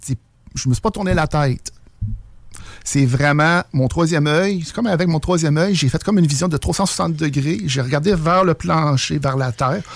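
He speaks in an ordinary speaking voice at a moderate pace. The man's pitch is fairly high, with ordinary pitch variation. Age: 40s. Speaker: UFO witness. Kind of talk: testimony.

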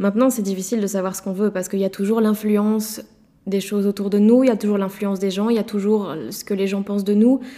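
A woman talks very fast at a medium pitch, her tone dark and mellow and her intonation monotone and flat. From Belgium, Liège province. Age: 20s. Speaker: interviewee. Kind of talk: personal testimony. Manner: halting, many repetitions and fillers.

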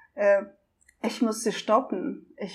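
Speaking at a very slow pace, a woman with a Russian accent has a fairly high pitch. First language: Russian (speaking German). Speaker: documentary filmmaker and traveling single mother. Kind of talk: interview. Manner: hesitant with many fillers.

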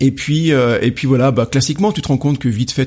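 Noticeable background noise fills the recording. The man's pitch variation is ordinary. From France, Rouen area. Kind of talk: casual interview. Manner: hesitant, many fillers.

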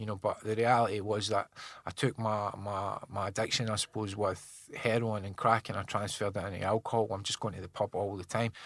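A man with a central Scottish accent speaks at a fairly quick pace and fairly low pitch, monotone and flat, with hardly any pauses, in a very clean recording with a silent background. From Scotland, Falkirk area. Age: 40s. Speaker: drug reform campaigner. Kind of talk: casual interview. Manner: halting, repetitive.

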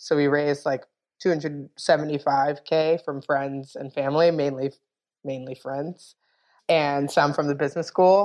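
At a moderate pace, a woman with an American accent speaks in a very deep, low voice with monotone, flat intonation. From New York, the Bronx. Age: 30s. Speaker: drinks brand co-founder. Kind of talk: interview.

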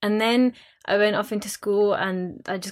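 A woman speaks with a West Yorkshire accent. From Bradford, West Yorkshire. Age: young. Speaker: theatre producer. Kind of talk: panel discussion.

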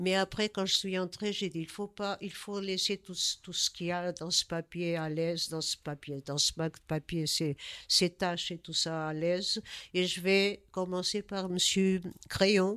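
Speaking with a Portuguese accent, a woman of medium pitch talks at a fairly slow pace with fairly even intonation, in a very clean recording with a silent background and a dry, close sound with no echo. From Portugal. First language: Portuguese (speaking French). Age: 70s. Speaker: artist. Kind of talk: interview. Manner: halting.

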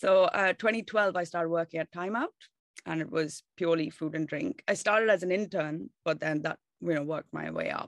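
Fairly quick speech from a woman with vocal fry and ordinary pitch variation, dry and close with no echo over a quiet background. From South India, Bangalore. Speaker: travel, food and whisky writer. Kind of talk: casual interview.

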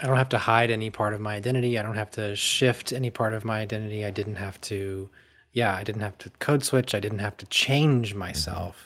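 Speaking with a normal speaking voice, a man talks at a fairly quick pace with fairly low pitch and fairly even intonation. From US South, rural North Carolina. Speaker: former church musician sharing deconstruction story. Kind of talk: casual conversation interview.

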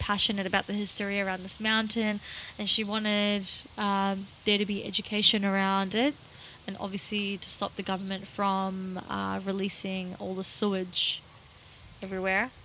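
Flat, monotone intonation over noticeable background noise. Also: woman. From Russia. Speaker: podcast co-host. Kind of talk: casual chat.

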